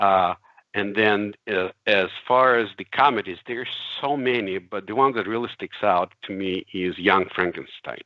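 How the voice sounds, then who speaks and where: Against a quiet background, a man with a fairly low pitch talks at a moderate pace. His voice shows ordinary pitch variation, and the sound is dry with no echo. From Russia. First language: Russian. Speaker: CAD software expert; interview guest. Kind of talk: casual chat. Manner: halting, many fillers. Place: home room. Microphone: video call.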